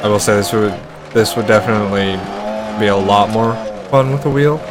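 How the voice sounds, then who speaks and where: Noticeable background noise and audible room echo surround this recording. A man with a fairly low pitch talks at a fairly quick pace. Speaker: game streamer. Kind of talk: live gameplay commentary. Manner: monotone. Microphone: microphone issues.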